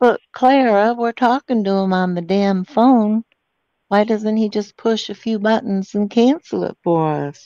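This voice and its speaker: A woman's fairly high voice with a dark, mellow tone, ordinary pitch variation, a fairly slow pace and a dry, close sound with no echo. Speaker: scambaiter. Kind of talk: prank phone call with a scammer. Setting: phone call. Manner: sarcastic.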